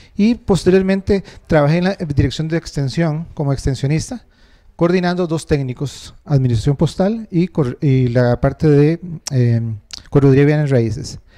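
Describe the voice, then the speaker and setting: A man's fairly high-pitched voice with a dark, mellow tone and ordinary pitch variation, against a quiet background. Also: fairly slow pace. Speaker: university tutor, council candidate. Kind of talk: campaign presentation. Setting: stage with audience. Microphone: handheld.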